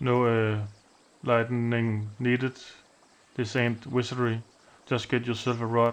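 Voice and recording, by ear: The speaker is reading aloud in a natural voice. The delivery stays in that natural reading style throughout.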